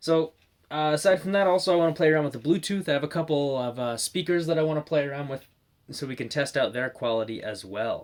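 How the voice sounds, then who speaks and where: A man speaks at a very fast pace with a fairly high pitch and ordinary pitch variation. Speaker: product reviewer. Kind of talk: product review tutorial. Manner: casual, many fillers; loud.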